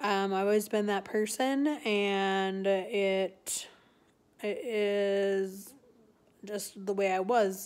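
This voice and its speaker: The speaker is a woman. She talks with monotone, flat intonation. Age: 40s. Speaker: vlogger. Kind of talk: casual chat. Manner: halting. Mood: candid, personal, calm. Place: home room. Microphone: phone near.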